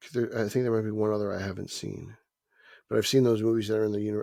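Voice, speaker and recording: A man with a New Jersey accent, fairly low in pitch and very fast, in a very clean recording with a silent background. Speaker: podcast co-host. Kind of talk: casual chat.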